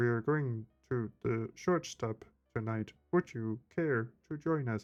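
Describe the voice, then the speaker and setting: A man puts on a character voice at a medium pitch. His delivery is fairly slow. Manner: creepy, cold-blooded, emotionless.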